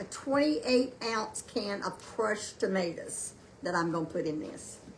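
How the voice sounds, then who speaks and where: Lively intonation from a woman at a medium pitch and moderate pace, with noticeable background noise. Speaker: home cooking livestream host. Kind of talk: live cooking demonstration. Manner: loud; halting, many fillers. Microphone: no microphone, built-in device mic.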